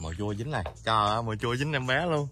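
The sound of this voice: Talking fast, a man with a medium-pitched voice and a bright, sharp tone uses ordinary pitch variation.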